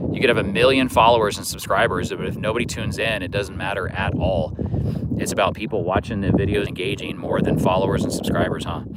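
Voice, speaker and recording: Speaking at a very fast pace, a man with an American accent is heard over noticeable background noise. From Kansas. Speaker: fishing livestreamer. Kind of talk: casual livestream chat. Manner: relaxed with many fillers.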